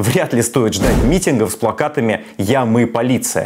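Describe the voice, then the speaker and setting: Background noise is noticeable throughout. Over it, a male voice talks at a moderate speed. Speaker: political commentator. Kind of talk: commentary. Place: kitchen. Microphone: lapel.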